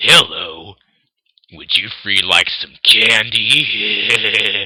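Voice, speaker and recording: A man's put-on character voice, raspy and fairly low-pitched, at a very slow pace. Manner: creepy, menacing.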